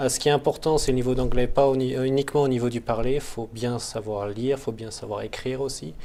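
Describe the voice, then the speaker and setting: A man at medium pitch speaks at a very fast pace with hardly any pauses and fairly even intonation. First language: not English (speaking French). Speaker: MBA student. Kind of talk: interview.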